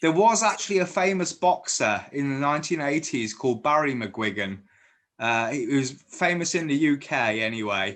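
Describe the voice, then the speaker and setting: The speaker's pitch swings very widely at a moderate pace. The background is quiet. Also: man, fairly high pitch for a man. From Guernsey, Channel Islands. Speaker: fan interviewer. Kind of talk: casual interview chat. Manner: stammering, many false starts.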